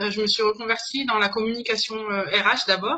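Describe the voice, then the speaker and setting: A moderate pace carries the speech. Its tone comes across bright and sharp. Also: woman. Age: 30s. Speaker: business consultant. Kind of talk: interview. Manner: hesitant, many fillers.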